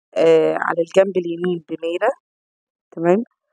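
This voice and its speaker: A woman talks at a fairly slow pace in a dark, mellow tone. The sound is dry and close, with no echo. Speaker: cooking channel host. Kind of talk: cooking tutorial.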